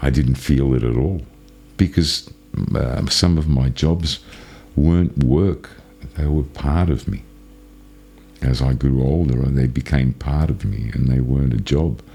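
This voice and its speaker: Music plays in the background as a man speaks with a very deep, low pitch and ordinary pitch variation. His pace is fairly slow, with long, frequent pauses. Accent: Australian. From Australia, Melbourne. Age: 60s. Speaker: channel owner telling life story. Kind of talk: personal storytelling. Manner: casual, halting with false starts.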